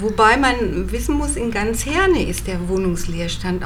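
Very slow speech from a woman, noticeable background noise and audible room echo around it. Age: 60s. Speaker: citizen initiative member. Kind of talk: group discussion.

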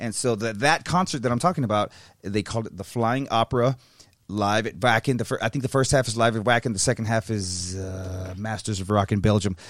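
A man with an ordinary speaking voice and a medium pitch. He talks at a fairly quick pace with ordinary pitch variation. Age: 30s. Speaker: guitarist in band, podcast co-host. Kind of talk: casual chat. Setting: studio.

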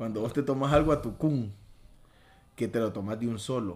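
Medium-pitched male voice at a fairly quick pace, with ordinary pitch variation. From Honduras, Choluteca. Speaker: podcast host. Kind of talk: casual chat.

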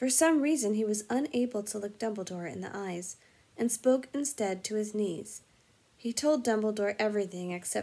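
Lively intonation marks this plain reading aloud.

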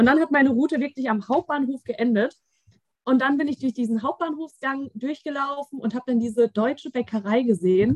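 With a dry, close sound and no echo, a woman speaks at a fairly quick pace in a high pitch with ordinary pitch variation. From Germany, Frankfurt. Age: 20s. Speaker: podcast guest, receptionist. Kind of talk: casual chat.

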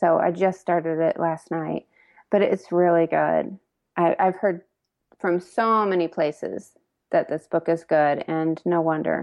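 A woman with an ordinary speaking voice, in an American accent, at a fairly low pitch with fairly even intonation and a fairly slow pace. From Indiana. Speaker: food blogger. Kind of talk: casual chat.

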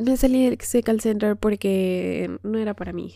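A woman speaks at a fairly slow pace in an animated tone. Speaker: podcaster. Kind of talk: casual monologue. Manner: animated, frequent laughter.

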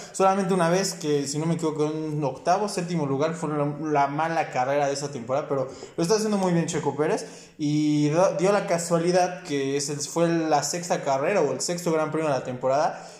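Fairly high-pitched male speech at a fairly quick pace, with fairly even intonation, audible room echo and noticeable background noise. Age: 20s. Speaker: sports podcast host. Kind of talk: casual chat.

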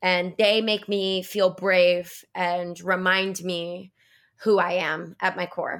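With an American accent, the speaker talks at a very slow pace in a monotone, flat intonation on a very clean recording with a silent background. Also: woman, medium pitch for a woman. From Florida. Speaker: teacher and podcast co-host. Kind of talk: casual chat.

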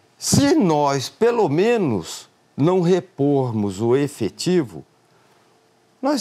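The man's tone is dark and mellow. He talks at a very slow pace, and his pitch moves in very wide swings. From Brazil, Mato Grosso do Sul. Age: 50s. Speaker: politician, candidate for state governor. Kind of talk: closing campaign statement; live political interview. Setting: TV and radio studio.

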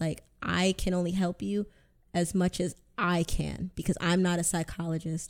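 A woman speaks in a fairly low, dark, mellow tone with monotone, flat intonation. The recording is very clean, with a silent background. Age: 20s. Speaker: mental health advocate. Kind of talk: casual chat.

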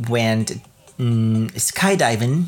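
Background music accompanies the recording. The man's voice rests at a medium pitch. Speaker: podcast host. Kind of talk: casual solo monologue about travel. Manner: laughs often, hesitant, many fillers.

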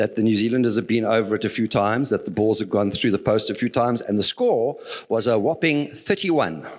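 A man with a plain, everyday voice speaks at a medium pitch and a fairly quick pace, using ordinary pitch variation and very even loudness. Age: 60s. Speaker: lay preacher. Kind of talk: sermon.

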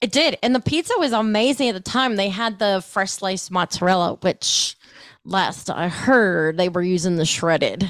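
At a moderate pace, a woman with an American accent and an unremarkable speaking voice talks at a medium pitch with lively intonation, in a dry, close sound with no echo. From Ohio, US Midwest. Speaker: food podcaster. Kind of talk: casual chat.

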